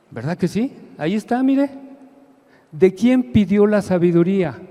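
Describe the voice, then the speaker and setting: A man speaks in a dark, mellow tone. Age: 60s. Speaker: lay preacher. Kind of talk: sermon. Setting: church. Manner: animated.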